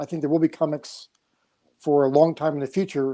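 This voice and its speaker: Over a silent background in a very clean recording, a man talks at a fairly quick pace with a dark, mellow tone and fairly even intonation. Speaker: comics industry veteran, former publisher. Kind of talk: panel discussion. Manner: monotone.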